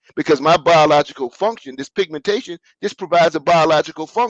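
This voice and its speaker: A man with a fairly high pitch and a plain, everyday voice talks at a fairly quick pace in an American accent, the sound dry and close with no echo. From US South. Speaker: business consultant. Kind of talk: interview.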